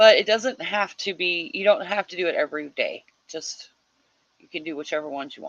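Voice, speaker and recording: With an American accent, a woman speaks at a moderate pace in a dry, close sound with no echo. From US Midwest. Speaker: livestream host of writing sprints. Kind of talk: casual livestream chat reading viewer comments. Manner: animated.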